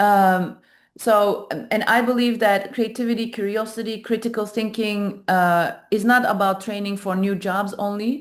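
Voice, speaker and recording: A woman's medium-pitched, monotone voice with flat intonation and a Turkish accent, fairly slow, on a very clean recording with a silent background. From Turkey. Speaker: AI startup founder. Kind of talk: panel presentation. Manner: halting, many fillers.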